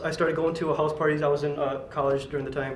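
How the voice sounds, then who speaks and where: A man's fairly high voice carries audible room echo, with noticeable background noise around it. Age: 20s. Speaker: workshop participant. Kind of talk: personal introduction.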